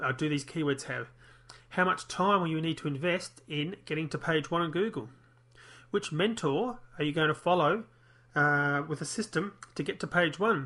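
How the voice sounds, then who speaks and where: In an Australian accent, a man talks with a fairly high pitch, ordinary pitch variation, and a bright, sharp tone. The background is quiet. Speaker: internet marketer. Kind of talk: online marketing tutorial. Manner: fast.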